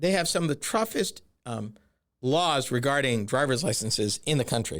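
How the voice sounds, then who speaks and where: In a very clean recording with a silent background, a man with a fairly high voice talks at a moderate pace with lively intonation, a plain, everyday voice. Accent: American. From northern or eastern US. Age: 60s. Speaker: podcast host. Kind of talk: solo podcast commentary. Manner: conversational, direct address to listeners.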